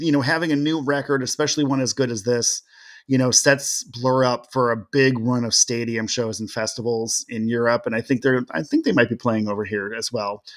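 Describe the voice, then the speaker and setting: This man has a normal speaking voice at a medium pitch and talks at a fairly quick pace, in a very clean recording with a silent background and a dry, close sound with no echo. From Seattle, US. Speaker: music writer. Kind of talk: casual podcast conversation.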